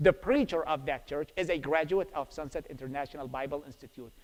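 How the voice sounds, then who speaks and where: This man speaks with an Iraqi accent at a very fast pace. His pitch sits fairly high. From Iraq, Baghdad. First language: Arabic. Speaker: preacher. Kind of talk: testimony. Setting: church.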